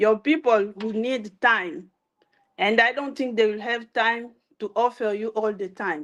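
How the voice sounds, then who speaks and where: A French accent at a fairly slow pace. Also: woman. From DR Congo. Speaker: entrepreneur, live stream host. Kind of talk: motivational live talk. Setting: Facebook live stream.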